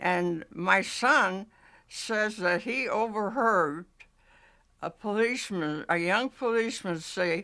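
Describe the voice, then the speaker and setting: On a very clean recording with a silent background, a woman with an American accent speaks very slowly at medium pitch, in a bright, sharp tone with ordinary pitch variation. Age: 80s+. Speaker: oral history interviewee. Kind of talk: oral history interview. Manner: halting.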